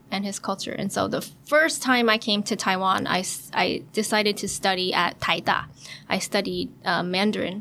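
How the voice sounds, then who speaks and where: Speaking with an American accent and vocal fry, the voice moves at a moderate pace with ordinary pitch variation on a very clean recording with a silent background. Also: woman. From US, San Francisco, California. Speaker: travel blogger and life coach. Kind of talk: bilingual podcast interview.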